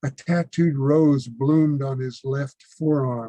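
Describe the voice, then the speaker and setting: Somewhat breathy and dark, mellow in tone, a man with an American accent speaks in a fairly high pitch. He goes at a fairly slow pace with fairly even intonation. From United States. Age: 70s. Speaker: poet. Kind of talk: poetry reading.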